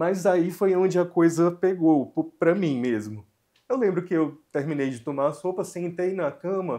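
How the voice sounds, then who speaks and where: A man speaks at a fairly slow pace with a dark, mellow tone, a high pitch, and ordinary pitch variation over a quiet background. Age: 40s. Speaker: cancer survivor. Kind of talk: interview testimony.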